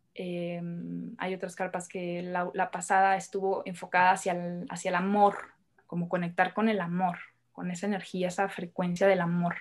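Delivery moves at a moderate pace. Intonation stays monotone and flat throughout. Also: woman. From northern Mexico, Hermosillo, Sonora. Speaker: women's circle facilitator. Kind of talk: podcast interview.

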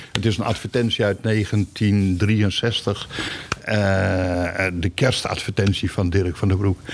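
Very slowly and in a flat monotone, a man with a fairly low pitch speaks at a very even loudness over noticeable background noise. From Groningen, northern Netherlands. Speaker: retired supermarket employee and company archivist. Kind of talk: interview. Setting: basement archive room. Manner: halting.

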